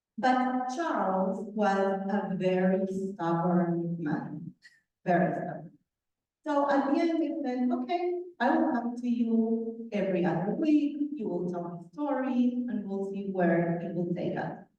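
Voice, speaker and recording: A woman speaks fairly slowly at a medium pitch with lively intonation. Audible room echo surrounds her voice. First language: not English. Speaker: author, guest speaker. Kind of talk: talk to a club meeting.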